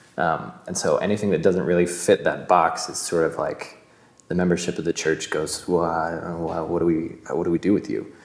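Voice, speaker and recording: Noticeable background noise surrounds a man with a western US accent. He speaks at a very deep, low pitch with monotone, flat intonation. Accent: western American. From Utah. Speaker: actor. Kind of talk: interview testimony. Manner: hesitant with fillers and repetitions.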